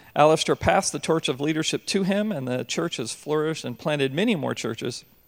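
Here is a man with a plain, everyday voice, fairly high in pitch with ordinary pitch variation. He talks at a moderate pace on a very clean recording with a silent background. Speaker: pastor. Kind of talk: church introduction. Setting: church.

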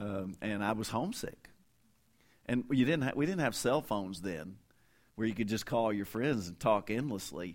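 A man with a Kentucky accent speaks in a fairly low pitch with lively intonation. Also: moderate pace. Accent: Kentucky Southern US. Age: 50s. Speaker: interim pastor and visiting preacher. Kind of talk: sermon. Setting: church.

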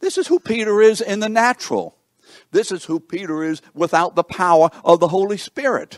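A man speaks at a high pitch with ordinary pitch variation. The pace is moderate, and the sound is dry and close with no echo. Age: 70s. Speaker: pastor. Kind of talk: teaching session. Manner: loud; animated.

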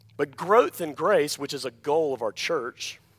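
A man with an Alabama accent, fairly high-pitched and lively in intonation, at a very slow pace, in a dry, close sound with no echo on a very clean recording with a silent background. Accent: Southern US (Alabama). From US South, Alabama. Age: 30s. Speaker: pastor. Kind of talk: sermon. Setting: church.

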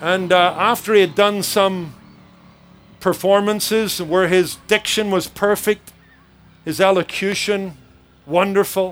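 Monotone and flat in intonation, the speaker uses a Northern Irish accent at a fairly slow pace with long, frequent pauses. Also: man, high pitch for a man. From Northern Ireland, Belfast. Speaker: pastor. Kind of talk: sermon. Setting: church service with audience.

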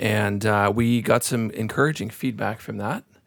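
This is a man speaking at a medium pitch. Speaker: pastor and podcast host. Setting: in-person studio.

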